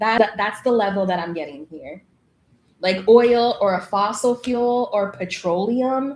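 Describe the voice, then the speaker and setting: Speaking fairly slowly with an East Coast US accent, the voice shows ordinary pitch variation and big swings in loudness. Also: woman, fairly high pitch for a woman. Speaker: tarot reader. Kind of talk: live tarot reading.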